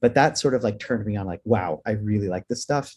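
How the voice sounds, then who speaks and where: A man's dark, mellow tone moves at a fairly quick pace, with ordinary pitch variation. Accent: Texas. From Houston, Texas, in an immigrant South African family. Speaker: digital marketing professor and agency owner. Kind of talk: webinar interview. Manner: enthusiastic, with frequent fillers.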